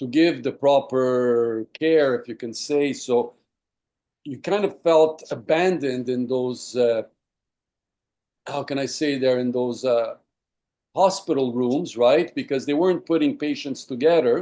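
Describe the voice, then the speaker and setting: A man's dark, mellow voice, fairly high in pitch, at a fairly slow pace with ordinary pitch variation. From Quebec, Montreal. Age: 60s. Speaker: lung disease patient. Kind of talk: interview. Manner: halting, many fillers.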